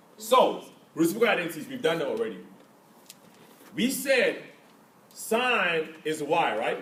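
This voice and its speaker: A man with an African accent talks in a high voice with lively intonation, at a fairly slow pace broken by long, frequent pauses. Room echo is audible. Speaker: math teacher. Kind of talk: classroom lesson. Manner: interactive call-and-response questioning.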